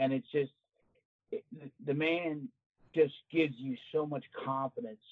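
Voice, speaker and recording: With an American accent, a man talks at a fairly slow pace in a plain, everyday voice. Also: fairly high pitch for a man, ordinary pitch variation. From New Jersey, Cape May. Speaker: retired correction officer, hunter. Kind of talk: casual interview.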